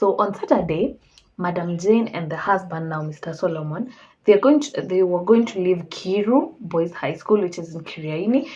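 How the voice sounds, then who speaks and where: A somewhat breathy woman's voice, fairly low in pitch, with ordinary pitch variation and a moderate pace. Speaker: true crime storyteller. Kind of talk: casual storytelling.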